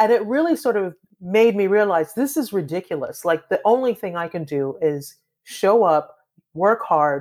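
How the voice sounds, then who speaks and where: At a moderate pace, a woman talks at a medium pitch with very wide pitch swings. The recording is very clean, with a silent background. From Trinidad. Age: 50s. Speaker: author and activist, former lawyer. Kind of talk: interview conversation. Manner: animated.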